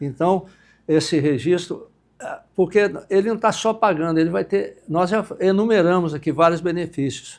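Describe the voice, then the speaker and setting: A high-pitched man with lively intonation on a very clean recording with a silent background. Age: 70s. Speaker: university professor, former director. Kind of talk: podcast interview.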